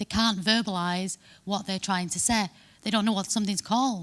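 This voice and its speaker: A woman at a medium pitch, with ordinary pitch variation, is heard on a very clean recording with a silent background. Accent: Manchester. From northern England, Manchester. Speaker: SEO conference speaker. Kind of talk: conference talk. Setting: stage with audience.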